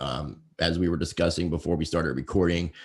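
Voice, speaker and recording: In a very clean recording with a silent background, a voice with an American accent and vocal fry speaks at a fairly quick pace. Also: man. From Virginia. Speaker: podcast host. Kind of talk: interview.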